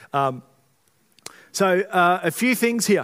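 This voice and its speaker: A man speaks loudly on a very clean recording with a silent background. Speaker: pastor. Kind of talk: sermon. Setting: church.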